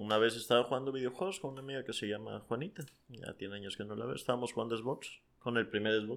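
Speaking at a very fast pace, the man has a medium pitch and ordinary pitch variation. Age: 20s. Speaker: podcast guest. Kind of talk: casual chat.

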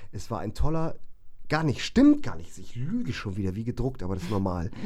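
A man's fairly quick, lively-sounding speech with audible room echo. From northern Germany, Bremen. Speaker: musician and hairdresser. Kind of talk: casual chat. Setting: home studio.

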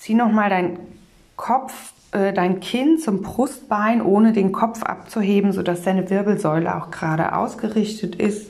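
A woman uses a normal speaking voice at a medium pitch, with ordinary pitch variation and a fairly slow pace. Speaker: meditation guide and communication trainer. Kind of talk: guided meditation. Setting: studio, solo podcast. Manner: calm, slow, soothing; gentle, warm, instructive.

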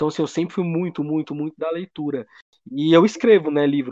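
A man rattles along very quickly in a fairly high register, his pitch shifting in an ordinary way. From Brazil, Federal District. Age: 20s. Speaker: rapper. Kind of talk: casual chat.

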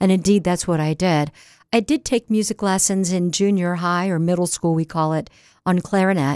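A woman with an American accent speaks in a plain, everyday voice at a fairly low pitch, with ordinary pitch variation, a moderate pace and very even loudness, in a very clean recording with a silent background and a dry, close sound with no echo. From US, Delaware (Newark). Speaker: radio host and folk musician. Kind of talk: interview. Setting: radio studio.

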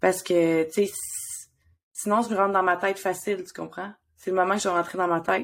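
A woman speaks with a medium pitch in a monotone, flat way, her loudness swinging widely. Long, frequent pauses stand out on a very clean recording with a silent background. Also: fairly quick pace. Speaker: podcast co-host and therapist. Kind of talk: casual chat.

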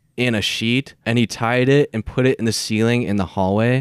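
A man with an American accent speaks in a normal speaking voice at medium pitch with ordinary pitch variation, in a very clean recording with a silent background. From Minnesota. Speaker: podcast guest. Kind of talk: casual chat.

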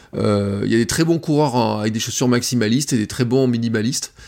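A man talking very fast at a medium pitch, with ordinary pitch variation, on a very clean recording with a silent background. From Auvergne, France. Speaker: barefoot runner. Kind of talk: casual chat.

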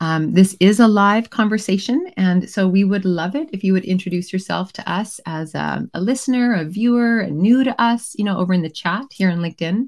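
The recording is very clean with a silent background, carrying a woman's plain, everyday voice. She talks at a fairly quick pace and medium pitch with ordinary pitch variation. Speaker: moderator.

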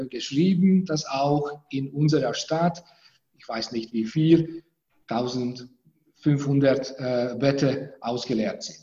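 A man talks at a very slow pace with a fairly high pitch. His voice is somewhat breathy, with a dark, mellow tone. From Hungary. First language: Hungarian (speaking German). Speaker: law professor. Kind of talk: interview. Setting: video call from university office.

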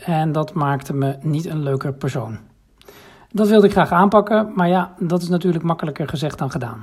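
A man's high-pitched voice with lively intonation. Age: 40s. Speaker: program participant giving testimonial. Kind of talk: recorded voice memo testimonial. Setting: voice memo sent via app.

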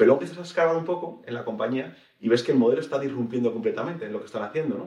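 Very fast and fairly high-pitched, a man talks with lively intonation and big swings in loudness, with audible room echo around him. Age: 30s. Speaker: tech company executive. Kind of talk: interview.

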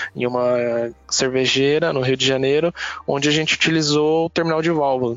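There is noticeable background noise behind this man. He talks at a moderate pace with fairly high pitch and ordinary pitch variation. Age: 30s. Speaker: automation business specialist. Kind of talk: casual chat.

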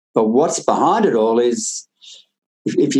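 A man talks at a moderate pace. He has an Australian accent. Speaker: farmer and author. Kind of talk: interview conversation. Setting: video call.

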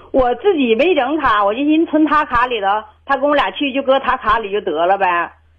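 Against noticeable background noise, a woman with a high pitch speaks at a fairly quick pace with lively intonation. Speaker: caller. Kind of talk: phone call-in conversation. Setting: phone call. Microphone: worried too quiet, host says clear.

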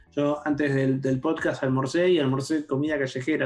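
A man talks at a fairly high pitch. Music can be heard behind him. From Argentina, Campana (Buenos Aires province). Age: 40s. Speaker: philosopher and tech journalist. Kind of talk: casual interview conversation.

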